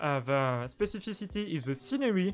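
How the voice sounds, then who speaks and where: Over music in the background, a man with a non-native accent speaks at a high pitch. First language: not English. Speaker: speedrunner and video game commentator. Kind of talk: live gameplay commentary. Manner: halting, many filler words.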